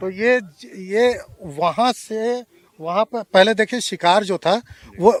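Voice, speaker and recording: The man's voice is high in pitch. It sounds dry and close, without any echo. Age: 60s. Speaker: local birdwatcher. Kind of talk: interview.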